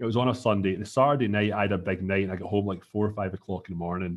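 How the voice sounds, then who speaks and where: A man speaks with a Scottish accent at a fairly low pitch. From Scotland. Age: 30s. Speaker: entrepreneur. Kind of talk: casual chat. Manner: halting.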